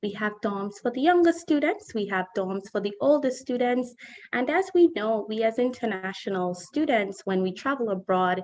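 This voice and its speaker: Speaking with a Caribbean accent, a woman uses a fairly high pitch and very wide pitch swings. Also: moderate pace. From Saint Kitts and Nevis. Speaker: college admissions representative. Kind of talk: presentation.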